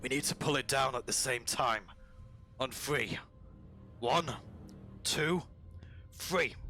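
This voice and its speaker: A man uses a raspy, put-on character voice at medium pitch with fairly even intonation. He goes at a fairly slow pace with long, frequent pauses over clear background music. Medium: actual play. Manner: curt, commanding.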